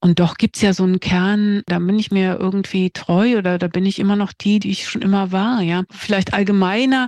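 A woman speaks in a plain, everyday voice at a medium pitch and a moderate pace, with hardly any pauses. Her intonation is fairly even, and the sound is dry and close with no echo. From East Germany. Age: 50s. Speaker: screenwriter. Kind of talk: interview.

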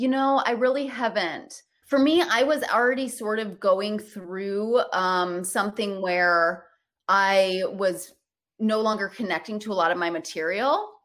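An ordinary speaking voice comes from a woman with an American accent, who speaks at a medium pitch and a fairly slow pace, with ordinary pitch variation, in a very clean recording with a silent background. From Michigan, US Midwest. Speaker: comedian and actor. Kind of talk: casual interview.

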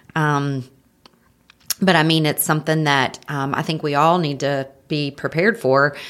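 In a North Carolina accent, a woman with a very deep, low pitch talks at a moderate pace with fairly even intonation. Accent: Southern American (North Carolina). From Marion, North Carolina. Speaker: home health sales director, breast cancer survivor. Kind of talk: interview testimony.

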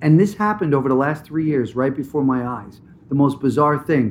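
Here a man talks at a moderate pace with an American accent, his pitch fairly high. It is a plain, everyday voice. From New Jersey. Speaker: actor. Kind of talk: interview.

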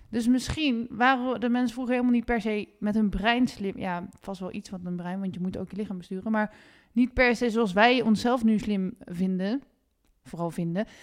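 A woman with an unremarkable speaking voice talks at a moderate pace and fairly high pitch with ordinary pitch variation. The recording is very clean, with a silent background. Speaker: podcast host. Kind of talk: interview. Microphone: sounds echoey.

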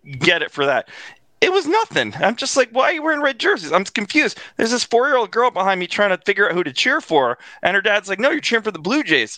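In a raised, projected voice, a man with a Canadian accent talks very fast at a high pitch with very wide pitch swings and a bright, sharp tone, the sound dry and close with no echo. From Canada. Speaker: sports fan podcast guest. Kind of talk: casual chat.

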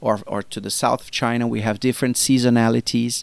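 A man with a Portuguese accent talks at a moderate pace and medium pitch. The recording is very clean with a silent background, and the sound is dry and close with no echo. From Brazil. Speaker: marketing executive. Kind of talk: interview. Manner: halting, many fillers.

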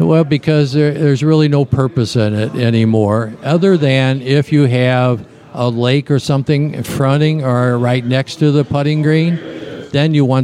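A man's moderately paced speech, with ordinary pitch variation, comes through noticeable background noise. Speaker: golf rules official. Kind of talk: interview. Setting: outdoors at a golf course.

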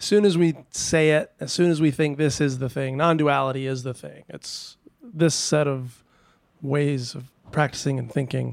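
A man speaks at a moderate pace with big swings in loudness. His pitch is fairly high, with ordinary variation, in an ordinary speaking voice. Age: 30s. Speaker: musician. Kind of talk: casual chat. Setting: retreat.

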